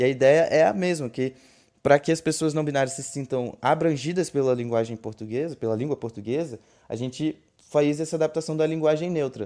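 A man talks at a fairly quick pace with ordinary pitch variation. His fairly high voice has a dark, mellow tone. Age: 20s. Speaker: diversity and inclusion consultant. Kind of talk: panel discussion. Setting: online audio room.

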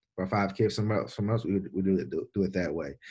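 The recording is very clean, with a silent background. A man with a Louisiana accent talks at a very fast pace with fairly even intonation. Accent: Louisiana Southern US. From Louisiana, Baton Rouge. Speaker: strength and conditioning coach. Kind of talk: casual interview. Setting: on the road.

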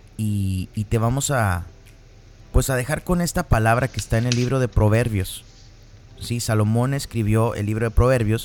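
A man speaks in an ordinary speaking voice at medium pitch. His pace is moderate and his pitch variation ordinary. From northern Mexico (Piedras Negras, Coahuila). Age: 30s. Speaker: podcast host. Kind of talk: casual chat.

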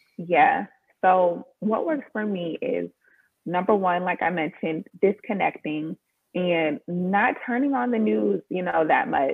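A woman with an American accent at a medium pitch, fairly slow in pace, with very wide pitch swings. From Maryland, just outside Washington D.C., US. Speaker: copywriter and online sales strategist. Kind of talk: casual interview chat.

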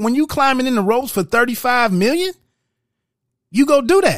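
A man talks at a moderate pace with an extremely high pitch. The recording is very clean, with a silent background. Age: 40s. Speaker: podcast host, movie reviewer. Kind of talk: solo movie review monologue. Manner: casual, halting with frequent fillers.

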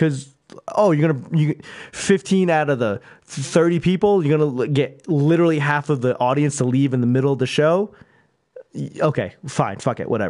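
In an American accent, a man talks in a plain, everyday voice with a fairly high pitch and lively intonation. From Boston. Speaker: stand-up comedian. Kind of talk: casual chat.

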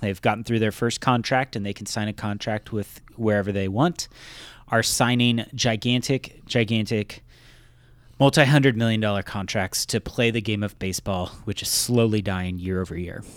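A man talks at a moderate pace in a plain, everyday voice. His pitch is fairly low, with fairly even intonation. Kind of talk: mock radio ad pitch, riffing on a jingle inside a casual comedy chat. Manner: deadpan, salesy jingle-style delivery with playful laughter.

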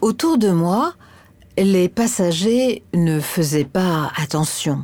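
The woman's intonation is lively. She speaks at a very slow pace. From France, Paris area. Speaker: voice of train station announcements. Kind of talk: scripted narration.

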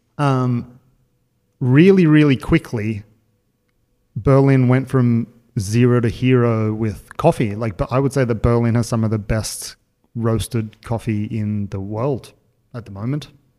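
A man's medium-pitched, dark, mellow voice in an Australian accent, at a fairly slow pace with long, frequent pauses and ordinary pitch variation. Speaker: podcast host. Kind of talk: casual chat.

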